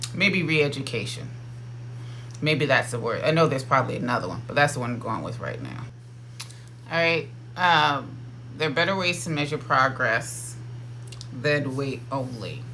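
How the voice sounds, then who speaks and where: With an American accent, a man of medium pitch speaks with ordinary pitch variation and long, frequent pauses, and the room echo is audible. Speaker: dietitian. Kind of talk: casual talk to camera. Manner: fast.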